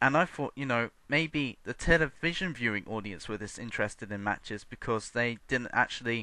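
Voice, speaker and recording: The man's tone is bright and sharp, at a medium pitch. He talks at a moderate pace. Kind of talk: unscripted video response rant. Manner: hesitant, stuttering with random pauses.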